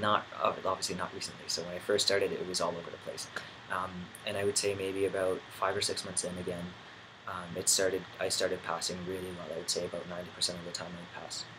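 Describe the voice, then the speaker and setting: A man speaks at a very fast pace. Noticeable background noise can be heard. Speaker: vlogger. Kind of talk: video diary. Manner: halting, many fillers.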